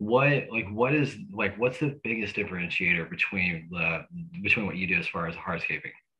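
A man speaks at a fairly quick pace with an American accent. The background is quiet. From US South. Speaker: podcast host. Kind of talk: casual interview. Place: home room. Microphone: studio mic.

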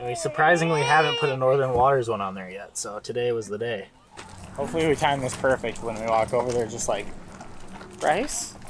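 A man in a Minnesotan accent keeps a fairly quick pace with ordinary pitch variation. The sound is dry with no echo, though noticeable background noise comes through. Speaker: vlogger. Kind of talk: casual vlog chat. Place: street. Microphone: phone near.

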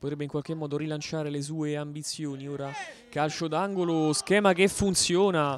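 In a dry recording with no echo and light background noise, a man sounds animated and excited at a fairly high pitch. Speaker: sports commentator and interviewer. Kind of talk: live futsal match commentary, then post-match interviews. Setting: futsal club venue, at the match. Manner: fast, breathless, rapid-fire play-by-play; animated, excited on goals.

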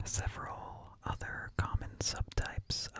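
Whispering from a man. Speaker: streamer. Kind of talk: reading an informational text aloud. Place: home room. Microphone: studio mic.

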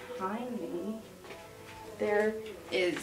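A woman speaks at a very slow pace while clear music plays in the background. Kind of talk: casual vlog chat. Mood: pleased, positive. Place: bathroom. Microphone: phone near.

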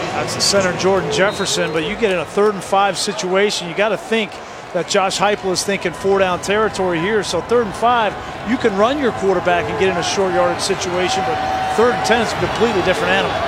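This man talks very fast in a high voice with ordinary pitch variation. Background noise is noticeable. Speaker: color analyst. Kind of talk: live sports commentary. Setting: broadcast booth. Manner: analytical, measured.

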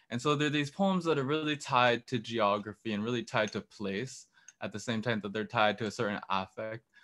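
Talking at a fairly quick pace, a man with a medium pitch and a bright, sharp tone uses ordinary pitch variation against a quiet background. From San Francisco Bay Area. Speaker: poet and PhD student; poet. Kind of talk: poetry reading; poetry reading and commentary. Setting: video call. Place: home room. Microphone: studio mic.

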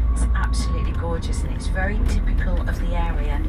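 A woman speaks over loud noise in the background. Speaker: tour guide. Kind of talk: tour commentary. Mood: enthusiastic. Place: bus.

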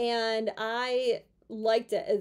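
A woman speaks. Her intonation is monotone and flat. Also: quiet background. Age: 30s. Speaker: YouTuber and former physical therapist. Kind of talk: casual vlog monologue. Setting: at home in her room. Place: home room. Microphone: phone near.

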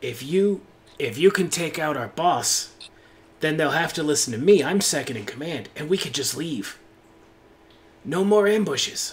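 Putting on a character voice, a man talks at a moderate pace and a fairly high pitch, with long, frequent pauses. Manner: wheedling, eager to make a deal.

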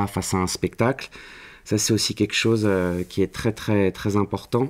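A man's fairly low voice in a monotone, flat intonation at a moderate pace. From Paris, France. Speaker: university lecturer in theatre studies. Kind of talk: interview. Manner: hesitant, many fillers. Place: classroom.

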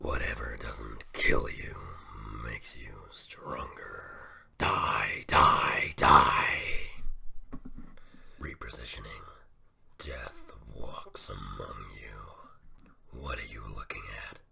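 A raspy, put-on character voice comes at a very slow pace. It leaves long, frequent pauses. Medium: solo performance. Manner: menacing, grim.

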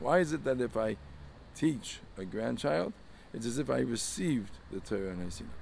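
Vocal fry from a man at a fairly quick pace, dry with no echo, over light background noise. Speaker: religious teacher. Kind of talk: sermon. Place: street. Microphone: phone near.

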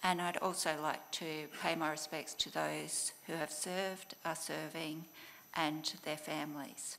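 Over light background noise, a woman speaks with a very deep, low pitch, a bright, sharp tone, vocal fry and monotone, flat intonation. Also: fairly slow pace. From Australia. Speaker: government department official. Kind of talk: formal presentation. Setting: conference venue with live audience. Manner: formal. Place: hall. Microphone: podium.

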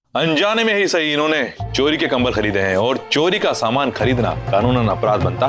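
A man talks at a fairly slow pace with clear music playing behind him. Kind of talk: scripted drama dialogue. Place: home room.

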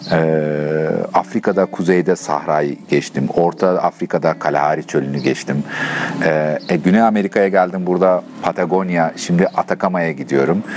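A man with a very deep, low pitch at a moderate pace, with ordinary pitch variation and light background noise. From Turkey. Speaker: long-distance touring cyclist. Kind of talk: interview answer. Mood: relaxed, animated.

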